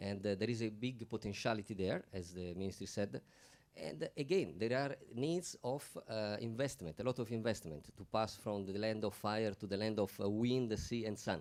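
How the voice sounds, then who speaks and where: At a moderate pace, a man with an Italian accent speaks at a fairly low pitch. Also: ordinary pitch variation. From Italy. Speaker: panel speaker. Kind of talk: panel discussion. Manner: halting.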